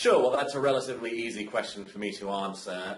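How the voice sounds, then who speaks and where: Against noticeable background noise, the voice moves at a fairly quick pace with fairly even intonation. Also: man. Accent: British. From Britain. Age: 20s. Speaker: community co-founder. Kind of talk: interview. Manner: hesitant, many fillers.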